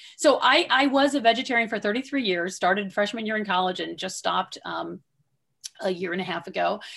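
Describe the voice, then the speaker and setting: Over a silent background in a very clean recording, a woman speaks in a normal speaking voice. Her pitch is fairly high and her intonation lively. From US Midwest, southwestern Michigan. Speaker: rancher, author and former environmental lawyer. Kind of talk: interview.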